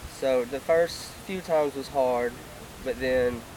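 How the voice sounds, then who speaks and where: A man with an American accent, fairly even intonation, and noticeable background noise. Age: 20s. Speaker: lung transplant recipient, athlete. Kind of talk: testimony.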